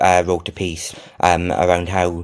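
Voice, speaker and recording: A man is speaking. He has a South Wales accent. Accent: Welsh (South Wales). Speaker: freelance tech journalist. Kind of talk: interview. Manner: halting, many fillers and repetitions.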